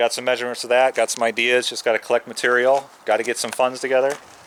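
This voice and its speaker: Against noticeable background noise, a man of medium pitch talks very fast in a flat monotone. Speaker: channel owner doing garage and shop build videos. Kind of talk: casual vlog talk to camera. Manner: halting, lost for words.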